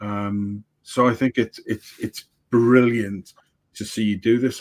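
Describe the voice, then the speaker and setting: A man speaks with an English accent in a monotone, flat intonation. His fairly low pitch comes through a dry, close sound with no echo. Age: 60s. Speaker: livestream producer and coach. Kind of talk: casual chat. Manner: halting, many repetitions.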